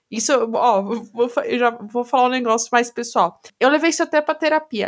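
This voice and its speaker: A woman's voice is high in pitch, with lively intonation. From Brazil. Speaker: podcast co-host. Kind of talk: casual chat.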